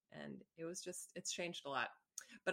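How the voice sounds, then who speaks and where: The tone is bright and sharp. Vocal fry runs through it. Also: woman. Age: 30s. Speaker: entrepreneur and gallery owner. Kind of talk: casual interview.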